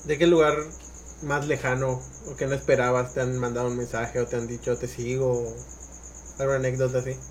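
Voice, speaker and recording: Long, frequent pauses break up a man's monotone, flat delivery at a medium pitch. Noticeable background noise is present. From Mérida, Yucatán, Mexico. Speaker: podcast host. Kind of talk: casual chat.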